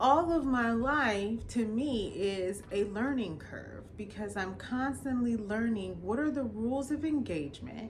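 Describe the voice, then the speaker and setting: Her pitch fairly high and her intonation lively, a woman speaks at a fairly slow pace with audible room echo. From Los Angeles, California, Jamaican immigrant family. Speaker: attorney. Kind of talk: personal storytelling monologue. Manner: casual, conversational.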